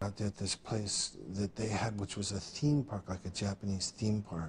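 Fairly even intonation at a moderate pace. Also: man, fairly low pitch for a man.

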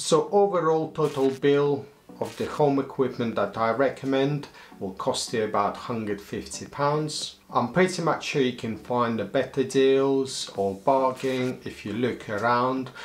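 A man speaks at medium pitch. His pitch variation is ordinary. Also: fairly slow pace.

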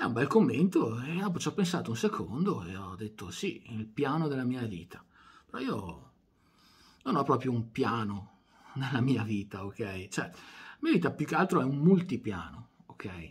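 Soft-spoken and somewhat breathy, this voice swings very widely in pitch and greatly in loudness against a quiet background. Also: man. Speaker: video channel creator doing a monologue. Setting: home recording at night with microphone and camera on. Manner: unhurried, wry and self-deprecating, winding down to a quiet 'buonanotte'. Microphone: phone near.

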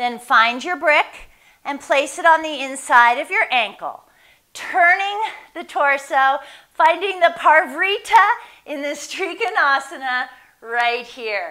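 Over a quiet background, a woman speaks very slowly at a high pitch. Her intonation is lively, and her loudness swings greatly. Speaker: yoga instructor. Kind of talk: guided yoga class, giving calm step-by-step pose cues between breaths. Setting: video class, online. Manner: calm, measured and soothing, with unhurried instructional pacing. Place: home room. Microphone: camera far.

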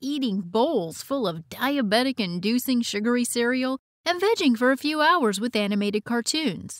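Her voice is high and upbeat, and this woman talks at a moderate pace with lively intonation over a quiet background, the sound dry with no echo. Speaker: voice actor. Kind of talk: nostalgic documentary-style narration. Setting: studio. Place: booth.

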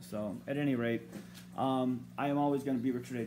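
The pace is moderate as a man speaks. Background noise is noticeable. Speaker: amateur author vlogger. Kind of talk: casual vlog chat. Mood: rambling, wry humor. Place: home room. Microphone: phone near.

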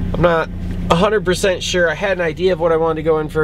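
A man's voice has a dry sound with no echo, with noticeable background noise behind it. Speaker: vlogger. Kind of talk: casual vlog chat. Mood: upbeat, enthusiastic. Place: car. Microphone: phone near.

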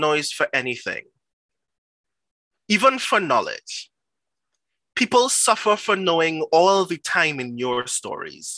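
A man with a high pitch and a bright, sharp tone talks in a raised, projected voice at a fairly slow pace, his pitch swinging very widely, with long, frequent pauses against a quiet background. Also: dry sound with no echo. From Trinidad and Tobago. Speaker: performance poet. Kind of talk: poetry reading. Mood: intense, rhythmic, dramatic.

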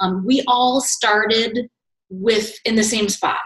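Fairly even intonation with audible room echo. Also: woman, quiet background. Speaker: team coach. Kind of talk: casual vlog chat. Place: office. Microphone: webcam.

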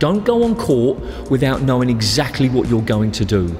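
A man talks at a moderate pace. Faint music sits in the background. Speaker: squash coach. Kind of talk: tutorial. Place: studio. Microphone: lapel.

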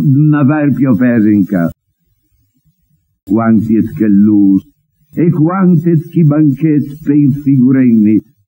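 The man's voice has a dark, mellow tone and a fairly high pitch. He talks at a very slow pace. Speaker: TV presenter. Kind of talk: poetry reading in dialect.

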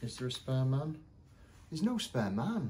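A man's somewhat breathy voice has a dark, mellow tone. He speaks at a moderate pace over light background noise. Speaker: toy shop owner reviewer. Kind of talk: casual unboxing review. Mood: enthusiastic, mildly critical. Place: shop.

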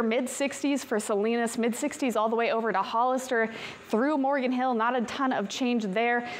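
With an upbeat tone, a woman talks at a moderate pace in a high pitch, keeping her loudness very even and hardly pausing at all. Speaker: TV weather forecaster. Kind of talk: weather report. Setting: TV studio. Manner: upbeat, brisk, conversational; clear, polished broadcast delivery. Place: studio.

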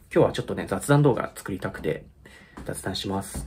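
A man speaks at a fairly quick pace, his pitch swinging very widely. His voice carries vocal fry over light background noise. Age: 30s. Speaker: YouTuber and musician; vlogger. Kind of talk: casual chat. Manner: halting; laughs often. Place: home room. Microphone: phone near.

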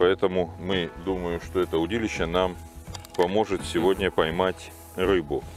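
Against clear music in the background, a man speaks in a very deep, low pitch at a fairly slow pace, with monotone, flat intonation and a dry sound with no echo. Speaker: fishing instructor. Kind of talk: tutorial. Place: waterside. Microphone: lapel.

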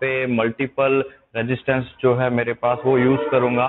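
Noticeable background noise runs behind the speaker. He is a man talking at a moderate pace. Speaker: fitness trainer. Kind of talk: tutorial. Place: hall.

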